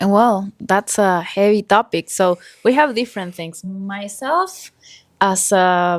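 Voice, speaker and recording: A woman speaks very slowly at a medium pitch with an Argentine accent and ordinary pitch variation, in a very clean recording with a silent background and a dry, close sound with no echo. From Argentina, Buenos Aires. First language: Spanish. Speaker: podcast co-host. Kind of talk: casual chat.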